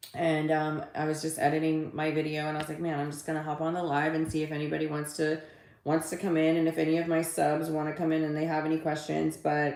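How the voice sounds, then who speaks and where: A woman with a very deep, low pitch speaks amid audible room echo. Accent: American. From Texas. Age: 40s. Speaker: livestreamer and social media coach. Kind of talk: casual livestream chat. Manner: animated.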